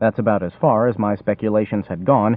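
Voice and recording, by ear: A text is read aloud in a natural voice.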